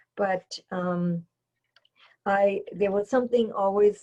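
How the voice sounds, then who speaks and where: Speaking in a German accent, a woman sounds somewhat breathy, her intonation monotone and flat. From Germany, East Berlin. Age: 70s. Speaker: airlift witness. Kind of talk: testimony. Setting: video recording. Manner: halting.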